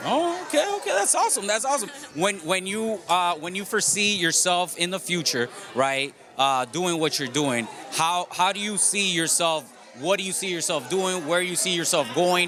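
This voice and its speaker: Music plays in the background as a man speaks at a moderate pace. His pitch is high, his tone animated and his intonation lively. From Colombia, Medellín. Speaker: podcast host. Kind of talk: casual interview.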